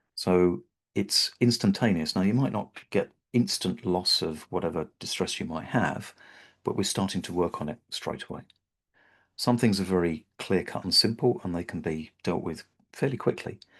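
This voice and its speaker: At a moderate pace, a man with a British accent speaks in a fairly low pitch with ordinary pitch variation. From Britain. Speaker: havening practitioner. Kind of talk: webinar presentation. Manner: hesitant, with fillers and repeated words.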